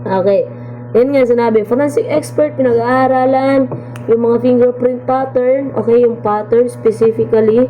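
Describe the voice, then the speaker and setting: Over music in the background and audible room echo, a woman speaks at a moderate pace with very even loudness. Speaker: college instructor. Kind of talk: lecture. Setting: recorded video lesson.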